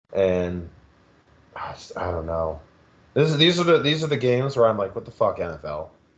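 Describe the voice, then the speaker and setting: A man with a slight Philadelphia accent and medium pitch, at a fairly quick pace, with very wide pitch swings, big swings in loudness, and long, frequent pauses. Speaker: podcast co-host. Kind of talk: casual chat.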